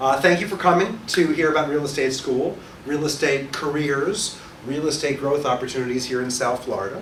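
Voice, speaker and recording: A man speaks at a fairly quick pace with fairly high pitch and ordinary pitch variation. There is noticeable background noise and audible room echo. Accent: American. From New York. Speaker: real estate instructor and broker. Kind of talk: orientation presentation to a small audience. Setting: small room with live audience, recorded for webcast. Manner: fast; loud.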